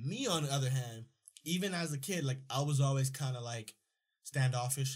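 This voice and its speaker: A man speaks in a somewhat breathy voice at a moderate pace, his medium pitch showing ordinary variation. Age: 20s. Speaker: podcast host. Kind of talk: casual chat. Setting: studio.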